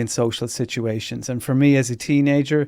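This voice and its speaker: An Irish-accented man at a moderate pace, his intonation fairly even, in a very clean recording with a silent background. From rural Ireland. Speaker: radio host and comedian. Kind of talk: interview.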